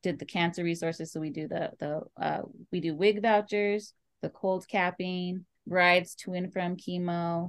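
Someone with an American accent talks at a moderate pace with fairly even intonation. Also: woman. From Oxnard, California. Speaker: nonprofit founder and business owner. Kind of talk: casual interview. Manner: halting.

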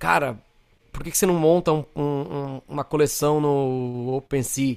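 Fairly high-pitched with fairly even intonation, this man has a normal speaking voice. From Brazil, São Paulo. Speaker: creative director and designer. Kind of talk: interview conversation.

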